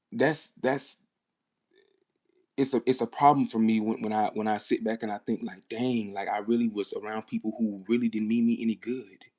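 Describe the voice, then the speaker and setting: Using a plain, everyday voice, a man of medium pitch speaks at a moderate pace with fairly even intonation. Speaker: live streamer. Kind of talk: casual livestream talk.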